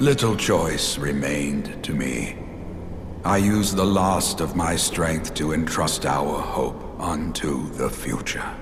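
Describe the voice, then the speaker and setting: Over loud background noise, a put-on character voice talks at a fairly slow pace. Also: man, very deep, low pitch for a man. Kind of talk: archaic formal storytelling. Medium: video game. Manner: gentle, dignified.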